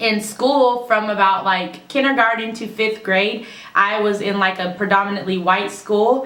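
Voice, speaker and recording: Noticeable background noise and audible room echo surround a woman speaking with an American accent at a moderate pace. Her pitch is fairly high and her intonation fairly even. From California, US. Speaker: YouTuber. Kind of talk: casual vlog talk.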